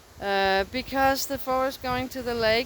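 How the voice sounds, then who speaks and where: A woman with a Danish accent speaks in a relaxed, calm tone with ordinary pitch variation, over noticeable background noise. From Denmark. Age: 60s. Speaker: nature vlogger. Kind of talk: casual vlog narration. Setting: outdoors in a forest.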